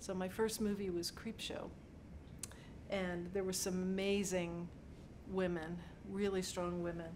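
An American woman with an American accent speaks at a fairly slow pace with long, frequent pauses. Her intonation is monotone and flat, and there is noticeable background noise. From Pittsburgh, Pennsylvania. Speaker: set decorator. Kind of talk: interview monologue. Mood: warm, reflective. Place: office.

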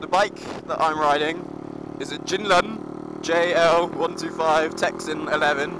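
A man shouts at a high pitch in a flat monotone, moving at a fairly slow pace with long, frequent pauses. Noticeable background noise and audible room echo fill the recording. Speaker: motovlogger. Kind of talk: casual vlog while riding. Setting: outdoors on a motorcycle. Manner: shouting over engine.

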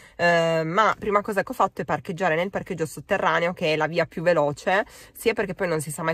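A woman talks at a fairly quick pace in a normal speaking voice, with a fairly low pitch and ordinary pitch variation. The sound is dry with no echo. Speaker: vlogger. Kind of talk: casual vlog chat. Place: car. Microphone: phone near.

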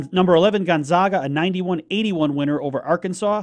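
Over a quiet background, a man speaks in a high pitch. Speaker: radio announcer giving scores. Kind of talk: news and score reading.

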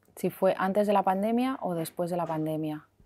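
Her voice has a dark, mellow tone. This woman speaks at a fairly low pitch. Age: 40s. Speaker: health and weight-loss practitioner; guest. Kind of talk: interview. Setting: hotel. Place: cafe. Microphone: lapel.

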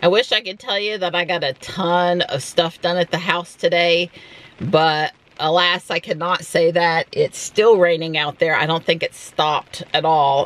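A woman talks at a moderate pace with fairly even intonation, in a dry sound with no echo. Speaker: vlogger. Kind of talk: casual vlog chat. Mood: relaxed, lightly amused. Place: car.

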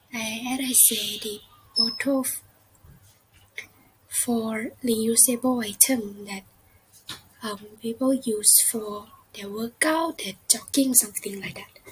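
Against noticeable background noise, a woman speaks very slowly with long, frequent pauses, big swings in loudness and ordinary pitch variation. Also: fairly high pitch for a woman. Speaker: student. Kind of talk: class video presentation. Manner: hesitant, many fillers.

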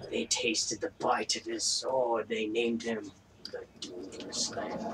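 A man puts on a character voice at a medium pitch, speaking at a fairly slow pace. Background noise is clearly heard. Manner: badass, grandiose.

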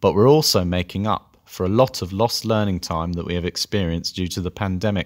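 In a London accent, a man with a very deep, low pitch speaks at a fairly quick pace, recorded dry and close with no echo on a very clean, silent background. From North London. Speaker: language teacher. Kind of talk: scripted presentation.

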